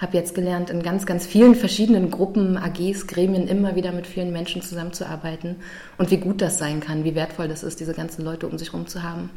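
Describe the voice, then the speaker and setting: With noticeable background noise behind her, a woman speaks at a fairly quick pace in a fairly low, monotone, flat voice. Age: 30s. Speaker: university student representative. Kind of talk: interview.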